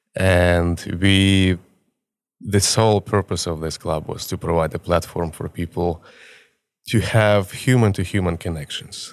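A man with a Ukrainian accent and a very deep, low pitch, at a fairly slow pace with fairly even intonation, on a very clean recording with a silent background. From Ukraine. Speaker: photographer. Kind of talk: casual chat.

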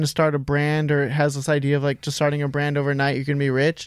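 At a moderate pace, a man with a fairly high pitch speaks in a plain, everyday voice, captured in a very clean recording with a silent background. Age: 20s. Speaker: clothing brand designer. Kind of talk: interview.

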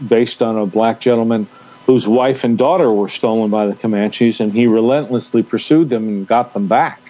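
A man with a plain, everyday voice speaks at medium pitch, keeping a moderate pace and ordinary pitch variation. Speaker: radio co-host. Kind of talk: casual chat.

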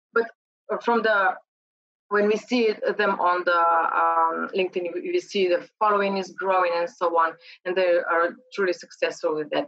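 Pausing long and often, a woman with a Slovenian accent speaks at a moderate pace with ordinary pitch variation. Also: medium pitch for a woman. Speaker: LinkedIn trainer. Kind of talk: interview.

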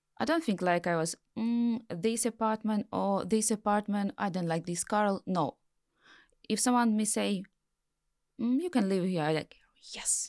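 A woman with a strong Ukrainian accent and medium pitch speaks at a fairly slow pace with lively intonation and long, frequent pauses, in a very clean recording with a silent background and a dry, close sound with no echo. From Ukraine. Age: 30s. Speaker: war refugee and author. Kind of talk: personal testimony in interview. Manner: halting.

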